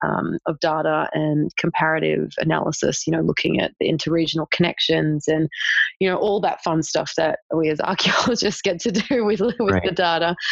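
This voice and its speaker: Dry and close with no echo, a woman with an Australian accent talks at a moderate pace and very even loudness. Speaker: archaeology PhD student. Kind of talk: interview. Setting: remote call.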